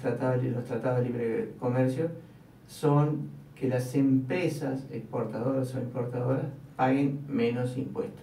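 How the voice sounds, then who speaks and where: A man talks at a fairly slow pace. Audible room echo and light background noise sit around his voice. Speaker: radio commentator. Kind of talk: radio talk commentary on politics. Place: studio.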